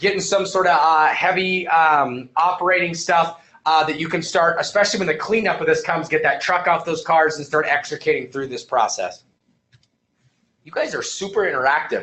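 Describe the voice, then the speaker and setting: A man talks at a fairly quick pace in a high pitch with ordinary pitch variation. His loudness swings widely. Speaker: EMS instructor. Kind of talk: online lecture to live class. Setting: live webinar at computer. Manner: fast.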